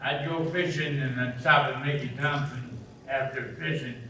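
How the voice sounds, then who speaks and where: Fairly slow speech over noticeable background noise. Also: man. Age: 80s+. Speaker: camshaft engine builder. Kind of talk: storytelling to a live audience.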